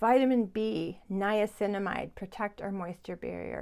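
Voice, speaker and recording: Over a silent background in a very clean recording, a woman talks at a moderate pace with ordinary pitch variation in an ordinary speaking voice. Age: 60s. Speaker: beauty vlogger. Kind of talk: tutorial. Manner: chatty.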